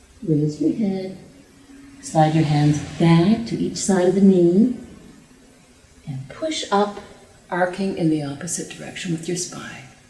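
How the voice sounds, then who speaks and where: Pausing long and often, a woman talks at a fairly slow pace and a fairly low pitch with ordinary pitch variation. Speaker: yoga teacher. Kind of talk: yoga class instruction.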